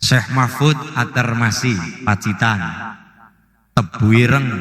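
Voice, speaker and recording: With a Banyumas accent, a man speaks very slowly at a medium pitch, his intonation lively. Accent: Banyumasan (Ngapak) Javanese. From Central Java, Banyumasan. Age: 20s. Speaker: Islamic preacher. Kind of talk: religious sermon to live audience.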